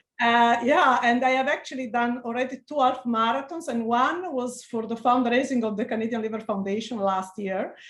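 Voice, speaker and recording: Speaking in an Italian accent, a woman keeps a moderate pace with hardly any pauses, her high pitch showing ordinary pitch variation. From Italy. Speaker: physician researcher. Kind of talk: interview. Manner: halting.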